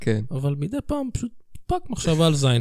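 A man swings his pitch very widely while talking at a fairly quick pace. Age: 30s. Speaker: comedy podcast co-host. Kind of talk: casual chat.

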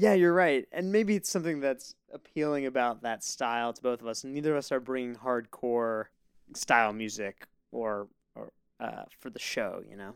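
An unremarkable speaking voice from a man at medium pitch and moderate pace, big swings in loudness, dry and close with no echo. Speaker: podcast host. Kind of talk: casual chat.

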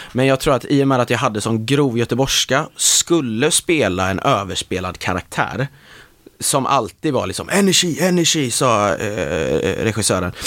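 Over a silent background in a very clean recording, a man with an ordinary speaking voice talks at a moderate pace and medium pitch, his intonation lively. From west Sweden (Marstrand, near Gothenburg). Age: 20s. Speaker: actor. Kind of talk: casual interview chat. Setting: studio.

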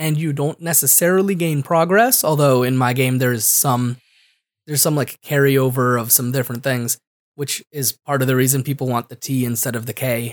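A man at a medium pitch with an American accent, a fairly quick pace, ordinary pitch variation, and a dry, close sound with no echo. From Connecticut, US. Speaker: podcast co-host, game designer. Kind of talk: casual chat.

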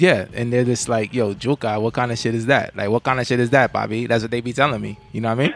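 Talking at a very fast pace with hardly any pauses, a man with a medium pitch speaks in a New York accent. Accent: New York (Bronx). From New York, the Bronx. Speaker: podcast co-host. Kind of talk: casual chat. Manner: animated.

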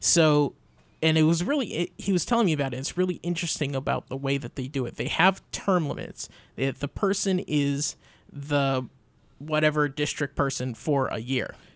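A man talks in a normal speaking voice at a moderate pace, his fairly high pitch showing ordinary variation. The recording is very clean, with a silent background. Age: young. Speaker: radio producer and co-host. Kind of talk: casual chat. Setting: studio.

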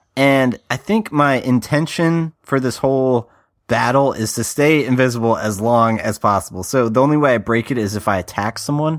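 A man has a normal speaking voice at medium pitch, with ordinary variation and a moderate pace. The sound is dry and close, with no echo. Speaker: player, podcast co-host. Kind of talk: casual tabletop game chat.

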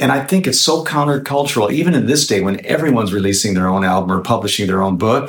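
This man talks at a fairly quick pace with a medium pitch, lively intonation and an ordinary speaking voice. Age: 60s. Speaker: singer-songwriter. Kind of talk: interview, casual chat.

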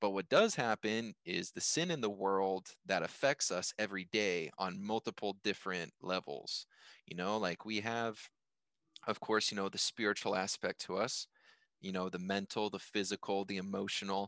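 A man with an American accent and a fairly low pitch speaks at a moderate pace with fairly even intonation, an ordinary speaking voice, and a dry, close sound with no echo against a quiet background. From US. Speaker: podcast host. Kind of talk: casual chat. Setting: remote call.

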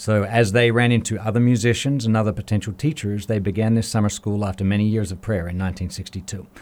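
Fairly quick speech with an Australian accent. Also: man. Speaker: music school director. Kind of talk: interview. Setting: studio.

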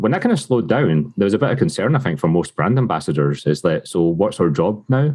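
A man at a very fast pace in a Glasgow accent, fairly low in pitch with very wide pitch swings, very even loudness and hardly any pauses. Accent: Scottish (Glasgow area). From Scotland, Lanarkshire near Glasgow. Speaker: whisky brand ambassador. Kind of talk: casual interview chat. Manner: upbeat, laughs often.

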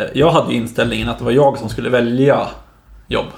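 A man speaks at a fairly quick pace. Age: 20s. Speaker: podcast co-host, junior software developer. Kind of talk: casual chat.

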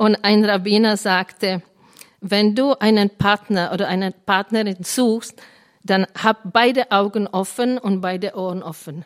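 A woman's medium-pitched voice in a Czech accent, at a fairly slow pace with fairly even intonation. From Czech Republic. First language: Czech (speaking German). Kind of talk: Bible teaching to a live group.

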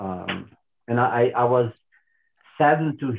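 A man's medium-pitched voice with a Portuguese accent and fairly even intonation. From Portugal. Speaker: caller. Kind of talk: call-in discussion.

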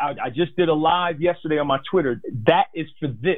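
A man talks at a moderate pace in a normal speaking voice. His pitch is fairly high, with lively intonation. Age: 40s. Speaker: financial advisor. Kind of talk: interview.

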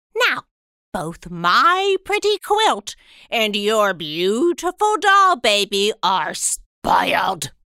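A woman talks at a very slow pace in a fairly high pitch. The sound is dry and close, with no echo. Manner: brisk, scolding.

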